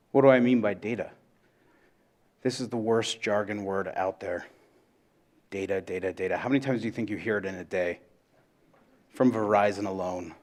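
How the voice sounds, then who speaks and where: The man speaks fairly quickly in a fairly low pitch. His speech has long, frequent pauses. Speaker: conference speaker, data analytics educator. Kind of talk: conference presentation. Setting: stage with audience. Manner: loud; animated.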